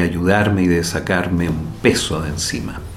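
This man has a very deep, low voice and talks at a fairly slow pace with fairly even intonation. Audible room echo and noticeable background noise surround him. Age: 60s. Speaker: neurosurgeon. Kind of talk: interview testimony.

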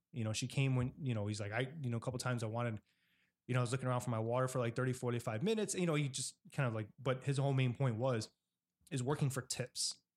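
Very fast and fairly even in intonation, a man talks with a Chicago accent on a very clean recording with a silent background. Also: medium pitch for a man. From Chicago Southwest side. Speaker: podcast host. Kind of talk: casual interview. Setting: home kitchen.

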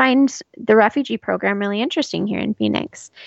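A woman with a Southwest US accent, talking at a fairly quick pace. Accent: General American (Southwest US). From Arizona, Scottsdale area. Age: 30s. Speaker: refugee program worker. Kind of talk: interview. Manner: hesitant, many fillers and repeats.

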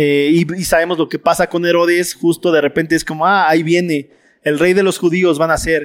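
This very clean recording with a silent background captures a man with a high-pitched voice. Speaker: Bible study teacher. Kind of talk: Bible study lecture. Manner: fast.

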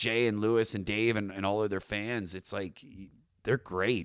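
This man's voice is fairly low in pitch. The background is silent and the recording very clean. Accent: Baltimore. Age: 30s. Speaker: comedian and podcaster. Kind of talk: casual chat.

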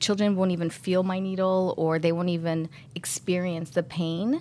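A woman talks at a fairly quick pace in an unremarkable speaking voice. Her pitch sits in the medium range. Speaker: co-host, pediatric surgeon. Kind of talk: podcast hosting.

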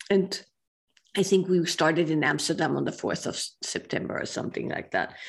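This woman's voice sits fairly low and carries vocal fry. She talks at a moderate pace with fairly even intonation. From Austria. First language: German. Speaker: author and women's group teacher. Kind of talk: interview.

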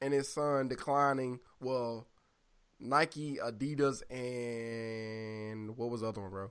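A man with an American accent at a very slow pace, on a very clean recording with a silent background. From US South. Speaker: podcast co-host. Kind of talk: casual chat. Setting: studio with camera.

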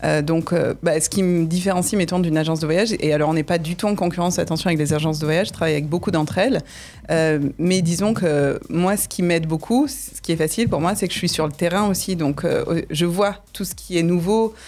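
Using a plain, everyday voice, a woman speaks at a fairly low pitch with ordinary pitch variation. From southern France, Nîmes. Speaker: tour guide and business owner. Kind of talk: radio interview. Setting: radio studio.

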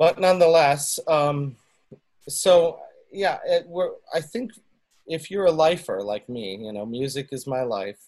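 With a Western New York accent, a man speaks at a fairly slow pace with long, frequent pauses, very wide pitch swings and big swings in loudness. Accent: Western New York American. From US, Buffalo, New York. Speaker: musician. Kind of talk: casual interview chat. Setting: video call. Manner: halting.

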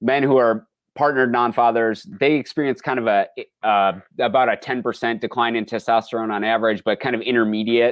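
This is a normal speaking voice from a man with an American accent. He talks at a medium pitch and a fairly quick pace. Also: fairly even intonation. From rural Minnesota, US. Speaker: anthropology professor. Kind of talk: interview.

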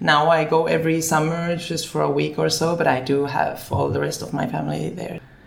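Words come at a fairly quick pace with hardly any pauses, with audible room echo and noticeable background noise. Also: woman. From Finland, then Barcelona from age 10. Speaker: food business founder. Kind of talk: interview.

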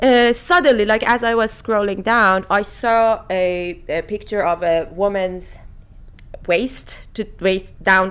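Speaking very slowly, a woman uses a medium pitch and ordinary pitch variation. She has a Persian accent. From Iran. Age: 30s. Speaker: podcast host. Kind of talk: casual chat.

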